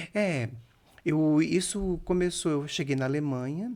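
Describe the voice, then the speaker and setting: Speaking in a dark, mellow tone, a man lets his pitch vary in an ordinary way. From Brazil, Santa Catarina (Sombrio), rural. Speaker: chef and restaurant owner. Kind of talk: podcast interview. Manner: halting, self-correcting.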